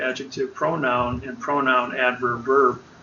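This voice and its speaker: A man's medium-pitched, monotone, flat delivery at a fairly slow pace over noticeable background noise. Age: 60s. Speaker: seminar presenter. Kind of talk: seminar talk.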